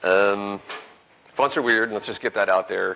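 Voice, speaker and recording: At a fairly quick pace, a man speaks in a fairly low voice with a bright, sharp tone. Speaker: conference speaker. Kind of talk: conference talk. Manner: fast. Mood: relaxed, light humour. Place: hall.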